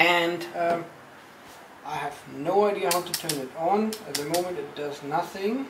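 A man speaks in a high voice at a moderate pace with ordinary pitch variation. Background noise is noticeable throughout. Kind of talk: casual unboxing vlog chat. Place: home room.

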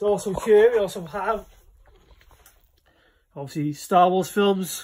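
Over light background noise, a man with a high pitch and ordinary pitch variation speaks at a fairly slow pace with long, frequent pauses. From Wales. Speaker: collector giving a room tour. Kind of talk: casual talk to camera. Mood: shy, friendly first video. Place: home room. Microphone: phone near.

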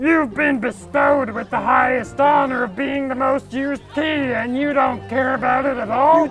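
A cartoonish character voice with a high pitch moves at a moderate pace over clear music in the background.

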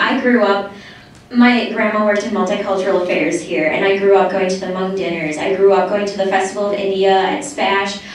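A woman's voice with strong room echo and light background noise. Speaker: student speaking at public comment session. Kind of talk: public comment speech. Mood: earnest, slightly nervous. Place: hall.

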